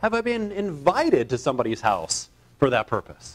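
The pitch swings very widely as this man speaks. He keeps a moderate pace. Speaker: evangelist preacher. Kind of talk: sermon. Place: church.

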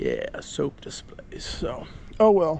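A man speaks at a very slow pace. The sound is dry with no echo, and light background noise is present. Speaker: vlogger. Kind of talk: casual vlog chat. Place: street. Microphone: phone near.

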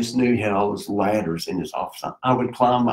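In a Tennessee accent, a man with a medium pitch talks at a fairly quick pace. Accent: Southern US (Tennessee). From US South, Middle Tennessee. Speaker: local community figure. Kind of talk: casual interview. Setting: live stream.

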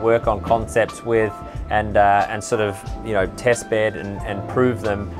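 The speech moves at a moderate pace with fairly even intonation, and clear music is heard in the background. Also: man. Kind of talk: interview answer. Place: boat.

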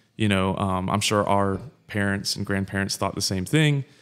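In a very clean recording with a silent background, a man with a Southern US accent talks at a moderate pace, his fairly low pitch held in a monotone, flat intonation. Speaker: podcast co-host. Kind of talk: casual chat.

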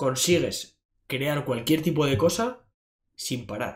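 Against a quiet background, a man speaks at a very slow pace. His voice is somewhat breathy and fairly high in pitch. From Basque Country, Bilbao; Basque Country. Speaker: fitness coach and podcaster; podcast guest. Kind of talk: interview. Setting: in person at a university. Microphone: studio mic.

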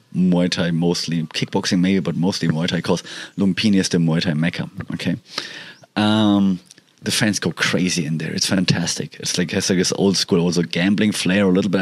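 Speaking at a fairly quick pace, a man has a very deep, low pitch. Noticeable background noise is present. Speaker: podcaster. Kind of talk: casual podcast talk.

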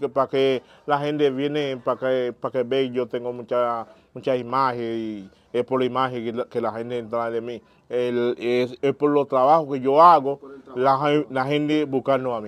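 In a monotone, flat intonation, a man delivers his words at a moderate pace. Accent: Haitian. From Haiti, Jacmel; Haiti. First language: Haitian Creole (speaking Spanish). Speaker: vodou priest; interviewee. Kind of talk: interview. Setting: at his home. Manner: halting. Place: home room. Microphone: lapel.

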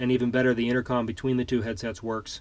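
Speaking at a very fast pace, a man keeps a monotone, flat intonation. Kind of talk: casual tour narration. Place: home room. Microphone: phone near.

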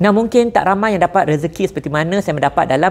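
With ordinary pitch variation, this male voice sits high in pitch. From Malaysia. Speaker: entrepreneur and business influencer; business influencer. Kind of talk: sponsored promotional video. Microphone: lapel.

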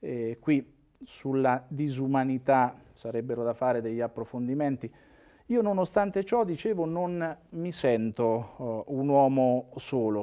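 A man's dark, mellow tone at a fairly slow pace, with lively intonation and a quiet background. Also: medium pitch for a man. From Umbria, Italy. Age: 50s. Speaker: former mayor and regional politician; former mayor, regional politician. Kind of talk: interview. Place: studio. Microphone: lapel.

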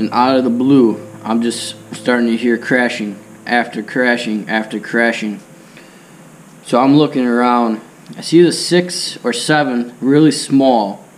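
Keeping a fairly slow pace, a man talks with ordinary pitch variation. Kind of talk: casual storytelling. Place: farm machine. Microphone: camera far.

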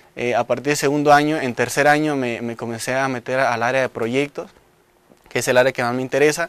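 Over faint background music, a man at a medium pitch talks at a fairly quick pace, the sound dry with no echo. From Michoacán, Mexico (Coalcomán); Michoacán, Mexico. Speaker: engineering student. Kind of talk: promotional testimonial. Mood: proud, earnest. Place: studio. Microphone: lapel.

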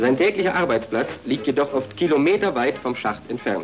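Music plays in the background as a man speaks at a moderate pace and medium pitch. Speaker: film narrator. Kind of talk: promotional documentary narration.

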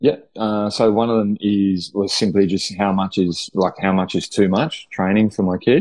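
Against a quiet background, a man with a fairly low voice talks at a moderate pace in an Australian accent. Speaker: head of performance development at a school, author. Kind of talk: casual interview. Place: home room. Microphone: video call.

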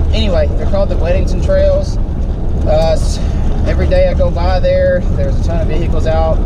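The pace is fairly quick. Loud background noise runs underneath. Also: man. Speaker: vlogger. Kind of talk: casual vlog chat. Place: car. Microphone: phone near.

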